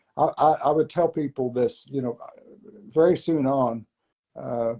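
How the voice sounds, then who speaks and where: In a dry, close recording with no echo, a man with a dark, mellow tone speaks at a fairly slow pace with ordinary pitch variation. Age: 70s. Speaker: preacher. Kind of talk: casual chat.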